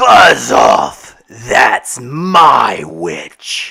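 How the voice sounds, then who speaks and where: A man puts on a character voice. It comes out shrill, growling and croaky. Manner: wet, menacing yowl.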